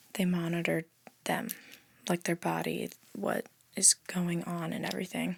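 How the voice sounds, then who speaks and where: Soft-spoken and fairly slow, a woman talks at a fairly low pitch. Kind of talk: ASMR soft-spoken rambling. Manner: casual, rambling.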